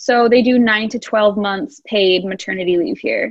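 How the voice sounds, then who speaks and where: A woman at a fairly high pitch with an American accent, ordinary pitch variation and a moderate pace. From US Midwest, Wisconsin. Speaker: expat professional. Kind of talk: interview.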